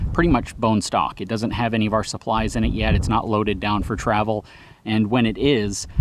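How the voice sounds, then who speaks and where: Amid noticeable background noise, a man with vocal fry and a fairly low pitch talks at a fairly quick pace with fairly even intonation, the sound dry with no echo. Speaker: truck reviewer. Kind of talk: tutorial. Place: open country.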